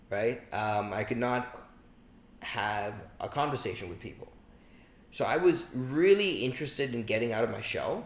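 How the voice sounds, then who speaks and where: A man talks at a medium pitch, taking long, frequent pauses. Audible room echo is present. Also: moderate pace. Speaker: podcast guest, logistics entrepreneur. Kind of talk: casual interview chat. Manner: halting, many fillers and repeats.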